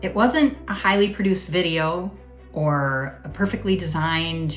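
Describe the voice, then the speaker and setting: Music plays behind a woman who speaks at a fairly slow pace. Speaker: marketing coach for women in network marketing. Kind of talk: casual talk to camera. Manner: conversational, earnest.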